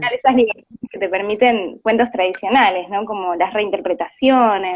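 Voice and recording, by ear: At a moderate pace, a woman speaks with a medium pitch and ordinary pitch variation.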